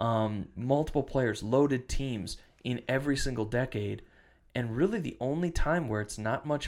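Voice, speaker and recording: In a very clean recording with a silent background, a man with an Upper Midwest accent speaks at medium pitch with ordinary pitch variation. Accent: Upper Midwest American. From western Wisconsin, US Upper Midwest. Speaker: podcast host. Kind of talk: casual chat.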